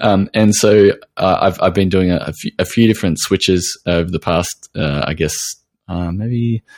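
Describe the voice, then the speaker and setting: With an Australian accent, a man of very deep, low pitch talks at a moderate pace with ordinary pitch variation. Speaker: podcast host, nutritional therapist. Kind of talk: interview; scripted intro narration.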